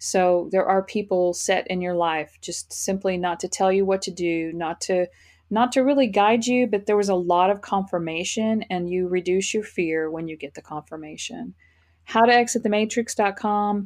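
With an American accent, a normal speaking voice moves at a moderate pace with ordinary pitch variation against a quiet background. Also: woman, medium pitch for a woman. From Texas, Fort Worth. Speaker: spiritual life coach. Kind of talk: interview.

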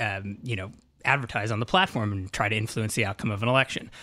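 This man has a bright, sharp tone and medium pitch, speaking at a fairly quick pace with fairly even intonation in a very clean recording with a silent background. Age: 30s. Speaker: tech journalist. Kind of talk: casual interview conversation. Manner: hesitant, filler-heavy speech.

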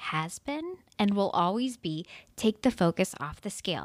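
On a very clean recording with a silent background, a woman at medium pitch speaks fairly slowly in an animated tone, with very wide pitch swings. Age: 40s. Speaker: podcast host, dietitian. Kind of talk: casual monologue. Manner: animated, laughs often.

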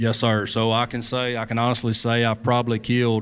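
This man has a medium-pitched voice and an Arkansas accent. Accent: Southern US (Arkansas). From US South, Arkansas. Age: 30s. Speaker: bowhunter. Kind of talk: live talk at a hunting expo. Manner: halting, many repeats and fillers.

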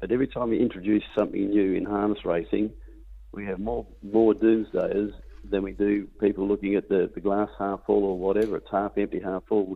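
A man with an Australian accent talks at a fairly quick pace in a fairly low pitch, his intonation flat and monotone. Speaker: racehorse owner and stud breeder. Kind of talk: casual interview.

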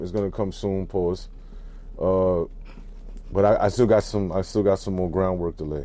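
In an American accent, a man speaks with a very deep, low pitch and a dark, mellow tone. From Brooklyn, New York. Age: 40s. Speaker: podcast co-host and magazine founder. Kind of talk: casual interview. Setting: mobile van studio. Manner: animated.

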